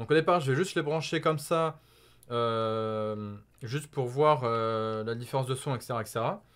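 With ordinary pitch variation, a man talks fairly slowly. Nothing intrudes from the quiet background. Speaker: YouTuber; gamer youtuber. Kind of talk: unboxing and product test video. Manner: hesitant, many fillers; excited exclamations. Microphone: new USB condenser microphone.

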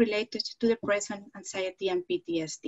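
With a Spanish accent, a woman speaks at a moderate pace and a fairly high pitch. Her voice is somewhat breathy, and the background is quiet. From Spain. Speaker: psychology professor; panelist. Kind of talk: panel discussion; presentation of research findings. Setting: video call. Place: home room. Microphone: headset.

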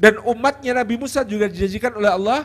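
A man talks at a very fast pace. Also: quiet background. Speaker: Islamic preacher; speaker. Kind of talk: religious lecture. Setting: stage with audience. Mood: warm, smiling explanation. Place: stage. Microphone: handheld.

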